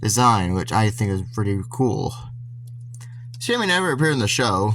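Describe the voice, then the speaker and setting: A man speaks somewhat breathily at a moderate pace, his medium pitch showing ordinary variation. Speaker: toy reviewer. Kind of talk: casual product review. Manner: halting, stuttering with many restarts.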